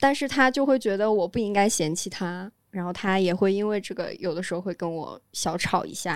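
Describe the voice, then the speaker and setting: A woman's unremarkable speaking voice at a medium pitch, with ordinary pitch variation, a fairly quick pace, hardly any pauses, and a very clean recording with a silent background. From Guangdong, China (northern family). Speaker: podcast guest. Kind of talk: casual chat.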